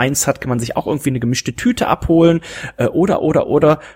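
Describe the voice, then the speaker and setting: Over noticeable background noise, a man talks very fast in a fairly high voice, the sound dry and close with no echo. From Germany, rural farm. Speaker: podcast host. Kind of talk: casual chat.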